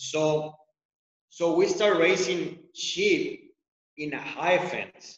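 The speaker is a man with a Mexican accent. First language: Spanish. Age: 40s. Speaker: outfitter and ranch owner. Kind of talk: casual interview. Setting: video call.

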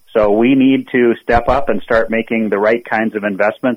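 An American accent marks this man's unremarkable speaking voice. His pitch is medium, his intonation fairly even, and his pace moderate. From Minnesota. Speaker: political candidate, retired naval officer. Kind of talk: radio interview. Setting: phone call.

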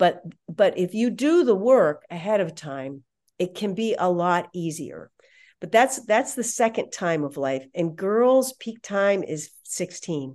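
The woman's pitch is medium and swings very widely. She speaks at a fairly slow pace against a quiet background. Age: 60s. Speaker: parenting speaker and psychologist. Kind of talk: casual interview chat.

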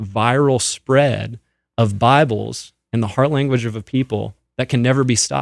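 A man talks at a moderate pace with ordinary pitch variation in a normal speaking voice. The recording is very clean, with a silent background. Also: dry, close sound with no echo. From Canada. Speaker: ministry executive and lawyer. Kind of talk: radio interview.

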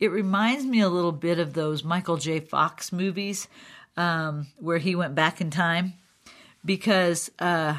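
On a very clean recording with a silent background, a woman uses an ordinary speaking voice, fairly low in pitch, with ordinary pitch variation. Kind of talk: solo educational talk.

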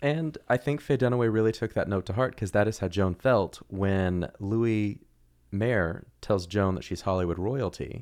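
A man's fairly low-pitched, plain, everyday voice with ordinary pitch variation, moderate pace and a quiet background. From Oklahoma City. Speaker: actor and improviser. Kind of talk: casual chat.

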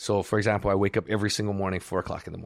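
Against a quiet background, a man speaks at a fairly low pitch with vocal fry. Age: 50s. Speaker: martial arts world champion. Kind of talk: interview conversation.

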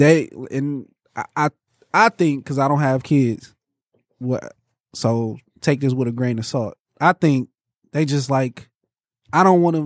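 An American-accented man speaks at a fairly slow pace with lively intonation and a fairly high pitch. The sound is dry and close, with no echo. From Michigan. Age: 30s. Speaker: podcast co-host. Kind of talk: casual chat. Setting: studio.

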